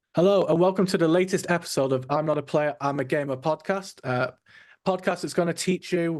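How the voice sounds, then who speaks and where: Against a quiet background, a man with a British accent talks at a very fast pace. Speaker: podcast host. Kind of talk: casual interview chat.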